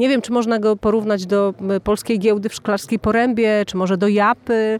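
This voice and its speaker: Using an ordinary speaking voice, a woman talks at a fairly high pitch and moderate pace with fairly even intonation, in a dry, close sound with no echo. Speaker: podcast host and festival presenter. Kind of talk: interview with translation. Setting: at a music festival.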